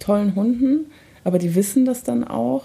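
Speaking at a moderate rate, a woman uses a plain, everyday voice. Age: 30s. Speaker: dog owner and mother. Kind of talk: casual chat.

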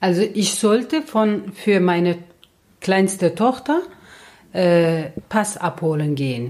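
Someone with a Turkish accent speaks at a very slow pace with very wide pitch swings and long, frequent pauses. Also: woman, medium pitch for a woman. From Turkey. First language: Turkish (speaking German). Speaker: host's mother, interviewee. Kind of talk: casual chat.

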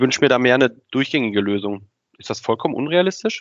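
A man talks at a fairly quick pace. He has an ordinary speaking voice at a medium pitch. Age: 30s. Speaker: podcast host, sales operations employee. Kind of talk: interview conversation.

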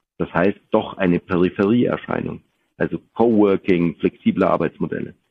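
With ordinary pitch variation, the man talks in a very deep, low voice. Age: 40s. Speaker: business executive. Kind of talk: interview.

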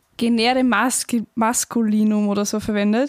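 With an Austrian accent, a woman speaks at a fairly high pitch and fairly even intonation, the sound dry and close with no echo. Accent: Austrian dialect, some. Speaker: podcast co-host, university student. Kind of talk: casual chat.

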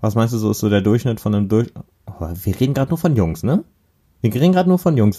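A man talks at a very fast pace with very wide pitch swings. His tone is dark and mellow and somewhat breathy. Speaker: podcast co-host. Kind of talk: casual chat.

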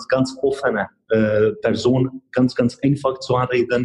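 With a Hungarian accent, a man speaks at a medium pitch in a dark, mellow tone that is somewhat breathy. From Hungary. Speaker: chemist and real estate investor. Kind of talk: casual interview. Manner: halting.

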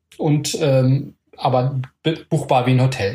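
A man talks at a fairly high pitch in a voice that is somewhat breathy. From Palatinate, Germany. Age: 40s. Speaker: acro yoga teacher. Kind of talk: casual chat. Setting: home.

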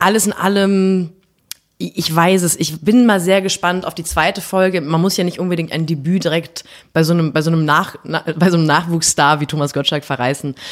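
A woman speaks at a moderate pace with fairly even intonation and a fairly low pitch. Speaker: podcast co-host. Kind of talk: casual chat. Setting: office.

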